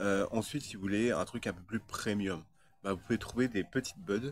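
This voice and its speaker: A man talks at a fairly low pitch. His pace is moderate and his intonation fairly even. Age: 30s. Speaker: video blogger. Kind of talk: casual monologue. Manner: halting, many fillers and repetitions.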